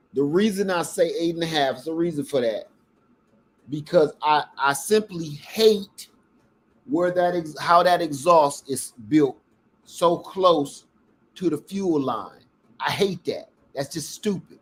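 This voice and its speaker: A man speaks loudly in a high pitch with ordinary pitch variation. His pace is fairly slow, with long, frequent pauses. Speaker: product reviewer / YouTuber. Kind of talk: casual product test livestream. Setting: at home in kitchen.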